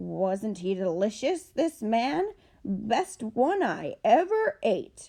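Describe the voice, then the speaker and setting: A woman's put-on character voice, growling, fairly high in pitch, at a very slow pace. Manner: gruff, menacing.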